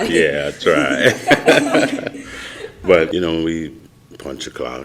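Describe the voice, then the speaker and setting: Amid noticeable background noise, a man speaks at a very slow pace with big swings in loudness. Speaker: bus driver and poet. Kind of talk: podcast interview answer.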